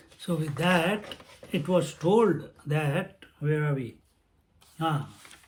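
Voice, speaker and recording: Audible room echo surrounds a man speaking at a very slow pace. His pitch is fairly high, with ordinary variation. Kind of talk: lecture. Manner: thinking aloud, halting.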